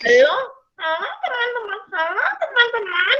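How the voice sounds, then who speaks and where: A put-on character voice at an extremely high pitch, nasal and shrill, at a moderate pace. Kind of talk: children's presenter-style. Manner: cheerful greeting, forced.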